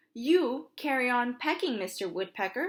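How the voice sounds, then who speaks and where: A woman puts on a squeaky, high-pitched character voice and delivers it at a moderate pace. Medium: read story.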